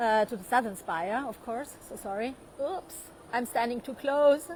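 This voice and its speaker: With a German accent, the speaker talks at a moderate pace with lively intonation and big swings in loudness. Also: woman, high pitch for a woman. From Austria, Vienna. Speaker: tour guide. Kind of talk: live online walking tour. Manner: hesitant, many fillers.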